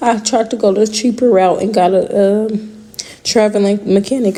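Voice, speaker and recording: Noticeable background noise sits under a woman's moderately paced speech. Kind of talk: casual talk to camera.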